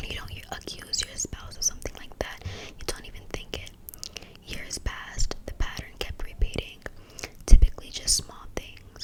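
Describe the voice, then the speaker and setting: Someone is whispering at a moderate pace. Noticeable background noise can be heard. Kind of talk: read-aloud of scary short stories. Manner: whispered.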